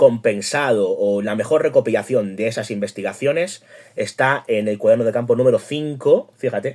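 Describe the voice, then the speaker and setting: A man with a dark, mellow tone. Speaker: YouTube host and journalist. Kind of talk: book review monologue.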